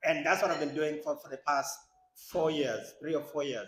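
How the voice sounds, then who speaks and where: His pace stays moderate. The man has a non-native accent. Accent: foreign. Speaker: congressional candidate, lawyer. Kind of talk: campaign speech.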